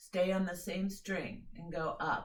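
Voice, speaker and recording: The voice is somewhat breathy. Audible room echo surrounds it. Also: woman. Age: 50s. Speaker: violin teacher. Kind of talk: music lesson. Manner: instructive, direct.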